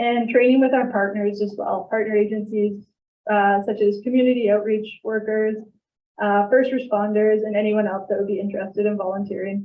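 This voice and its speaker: A woman's shaky voice, fairly high in pitch, holds a monotone, flat intonation. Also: fairly quick pace. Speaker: crisis team presenter. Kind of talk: presentation to council.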